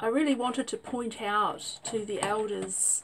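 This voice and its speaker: Noticeable background noise sits behind a woman's voice. She has a New Zealand accent and ordinary pitch variation. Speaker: vlogger. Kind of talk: personal testimony. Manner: hesitant with fillers.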